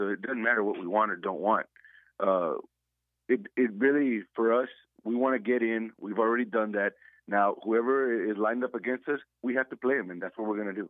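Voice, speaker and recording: A man's normal speaking voice, medium in pitch, at a fairly quick pace with fairly even intonation. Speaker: high school football coach. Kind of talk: radio interview about a game. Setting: phone call.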